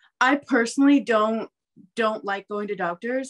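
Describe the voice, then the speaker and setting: In a quiet background, a woman's speech shows ordinary pitch variation. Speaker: interview guest. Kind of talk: interview answer. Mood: earnest, recalling fear. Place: home room. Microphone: video call.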